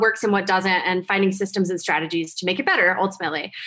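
In an American accent, a woman of medium pitch speaks at a very fast pace. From New Jersey. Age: 40s. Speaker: photographer and business coach. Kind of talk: interview.

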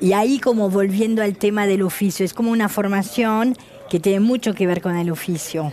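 A woman of medium pitch talks at a moderate pace, her pitch shifting in an ordinary way, with noticeable noise behind her. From France. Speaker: shoe designer. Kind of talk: interview.

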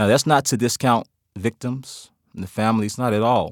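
A man with a Memphis accent talks at a moderate pace and medium pitch, the sound dry and close with no echo in a very clean recording with a silent background. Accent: Southern US (Memphis). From US South, Memphis, Tennessee. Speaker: criminal justice professor and former police officer. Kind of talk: interview.

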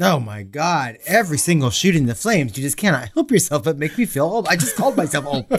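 Fairly high-pitched and somewhat breathy, a man speaks at a very fast pace with very wide pitch swings and hardly any pauses. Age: 40s. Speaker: horror podcast co-host. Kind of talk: casual chat. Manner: animated.

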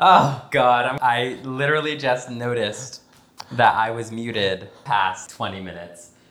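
Amid noticeable background noise, a man at medium pitch speaks at a fairly slow pace, with big swings in loudness and ordinary pitch variation. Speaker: podcast host. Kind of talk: casual chat. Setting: recorded conversation over wine.

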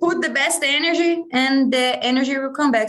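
A woman talks in a Brazilian accent at a moderate pace. Her high pitch moves with lively intonation. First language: Portuguese. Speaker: MMA fighter. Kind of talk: casual interview.

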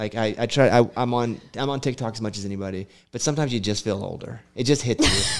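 At a very fast pace, a man with an American accent talks at medium pitch with fairly even intonation. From US South, Arkansas. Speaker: radio host. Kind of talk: casual interview. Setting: studio.

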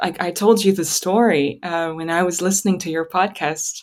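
A woman speaks in a Russian accent at a medium pitch with fairly even intonation. The recording is very clean with a silent background. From Kazakhstan. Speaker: musician and writer. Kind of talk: interview conversation. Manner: hesitant, many fillers.

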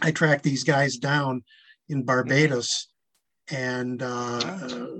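A very slow-paced man with a Midwestern American accent, recorded dry and close with no echo. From Michigan. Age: 70s. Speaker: author. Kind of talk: interview.

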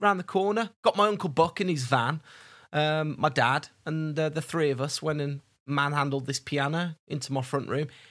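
A normal speaking voice from a man, fairly high in pitch, at a moderate pace on a very clean recording with a silent background. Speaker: podcast co-host. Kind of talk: casual chat.

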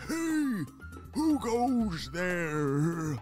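A man's high-pitched, put-on character voice over clear music in the background. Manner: suspicious, challenging.

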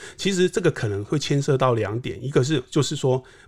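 A somewhat breathy man speaks at a moderate pace with a medium pitch and ordinary pitch variation. The recording is very clean, with a silent background. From southern Taiwan. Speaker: real estate market analyst. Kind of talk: casual interview chat.

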